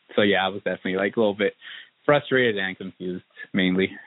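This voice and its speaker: A man speaks at a fairly quick pace with a West Coast US accent. His pitch is fairly low. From Southern Oregon, US. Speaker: interviewee. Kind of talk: casual interview talk. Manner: casual, filler-heavy.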